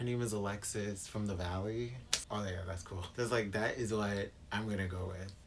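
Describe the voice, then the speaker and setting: A man with an American accent speaks at a moderate pace in a fairly low, monotone, flat voice. Audible room echo and noticeable background noise fill the recording. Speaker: booktuber. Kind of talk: casual vlog monologue. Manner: clipped.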